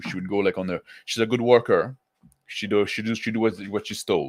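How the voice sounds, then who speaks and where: A man's fairly low voice with a French accent, very fast pace, and monotone, flat intonation, on a very clean recording with a silent background. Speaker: tabletop roleplaying YouTuber. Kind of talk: casual livestream talk to chat. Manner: halting, many fillers and restarts.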